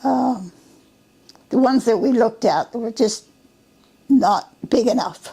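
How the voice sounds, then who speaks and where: At a very slow pace, a woman speaks in a high pitch with a dark, mellow tone. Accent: Western Canadian. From British Columbia, Canada. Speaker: retired service station owner. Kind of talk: oral history interview answer.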